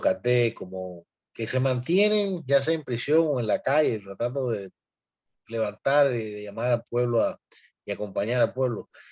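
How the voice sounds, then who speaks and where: Against a quiet background, a man talks at a fairly slow pace. His pitch variation is ordinary. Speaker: activist. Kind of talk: panel discussion. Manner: animated.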